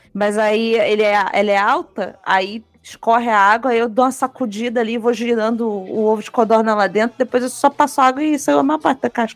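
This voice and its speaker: An unremarkable speaking voice moves at a fairly quick pace with ordinary pitch variation and hardly any pauses. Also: woman, fairly high pitch for a woman. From Rio de Janeiro, Brazil. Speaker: podcast co-host. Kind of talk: casual chat.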